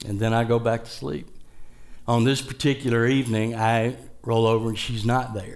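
Speaking at a moderate pace, a man has an ordinary speaking voice, medium pitch and fairly even intonation. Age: 60s. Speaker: guest preacher. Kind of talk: sermon. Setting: church.

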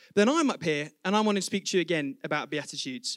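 Speaking at a fairly quick pace with lively intonation in an English accent, this voice has a dry, close sound with no echo. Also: man. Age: 20s. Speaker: preacher. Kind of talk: sermon. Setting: church. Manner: fast.

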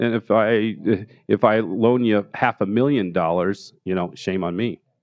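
An American-accented man speaks at a fairly slow pace with ordinary pitch variation. His is an unremarkable speaking voice. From Denver, Colorado (Park Hill). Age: 50s. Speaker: art gallery owner and author. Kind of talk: interview. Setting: live recording before an audience.

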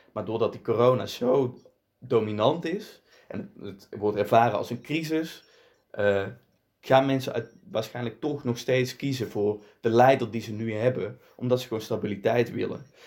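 A man speaks at a moderate pace with a medium pitch and ordinary pitch variation. The recording is very clean, with a silent background. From Netherlands. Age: 20s. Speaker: provincial politician. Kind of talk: interview. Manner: hesitant, with fillers and repetitions.

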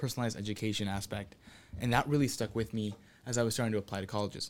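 A man with an American accent speaks very fast at a medium pitch. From Southern California, Santa Ana. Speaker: university student. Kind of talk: casual chat.

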